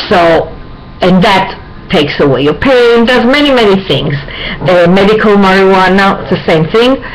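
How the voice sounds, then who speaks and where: A woman with a medium pitch and lively intonation is heard through audible room echo and noticeable background noise. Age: 60s. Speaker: video blogger. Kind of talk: personal health vlog. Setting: webcam recording at home. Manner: halting, with many fillers.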